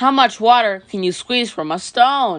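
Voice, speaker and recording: Using a put-on character voice, a woman speaks at a moderate pace with a fairly high pitch over a quiet background. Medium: read story. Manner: cheerful, plucky.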